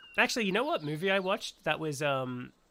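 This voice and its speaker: The speaker has an Australian accent and talks at a fairly quick pace. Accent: Australian, mistaken for British by a viewer. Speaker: gaming streamer. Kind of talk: live gameplay stream chat. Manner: casual, halting with fillers.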